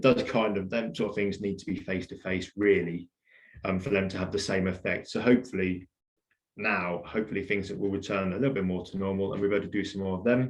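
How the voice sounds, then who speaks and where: Over a quiet background, a man talks at a very fast pace. His voice is fairly low, with fairly even intonation. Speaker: environmental records centre staff giving a talk. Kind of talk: illustrated talk.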